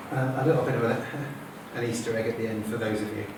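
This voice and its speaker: Fairly quick speech with lively intonation comes through noticeable background noise. Audible room echo is present as well. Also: man. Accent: English. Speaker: materials science professor. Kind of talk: lecture. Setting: stage with audience. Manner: fast.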